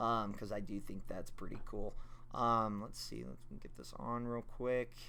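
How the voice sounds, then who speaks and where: Medium pitch from a man, with a bright, sharp tone, fairly even intonation, a moderate pace and audible room echo. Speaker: toy collector reviewer. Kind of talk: product review. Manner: casual, filler-heavy.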